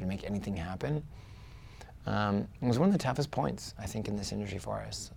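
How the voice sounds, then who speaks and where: A soft-spoken man with a fairly low pitch and a dark, mellow tone, at a very fast pace. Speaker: real estate investor. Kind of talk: interview.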